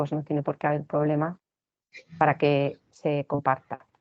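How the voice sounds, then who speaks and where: A woman's very deep, low voice proceeds at a moderate pace. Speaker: teacher giving a training talk to teachers. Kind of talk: online lecture / training talk. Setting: recorded online session.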